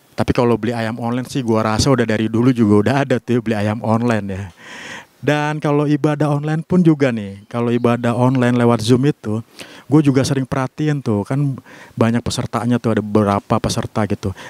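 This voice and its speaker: Very fast speech comes from a man with a medium pitch and ordinary pitch variation, recorded in a dry sound with no echo. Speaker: stand-up comedian. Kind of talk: stand-up comedy set, conversational storytelling with punchlines and audience laughter. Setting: stage with audience. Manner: animated, playful, punchy comic timing with pauses; casual, slangy, self-deprecating. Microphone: handheld.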